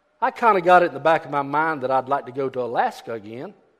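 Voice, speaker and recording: A man talks with a Southern US accent at a fairly quick pace. His intonation is lively. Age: 70s. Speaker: preacher. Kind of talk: sermon. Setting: church.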